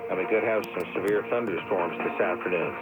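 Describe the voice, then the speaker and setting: Over background music, a man speaks at a moderate pace while his pitch swings very widely. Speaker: radio news anchor. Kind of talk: radio news broadcast read.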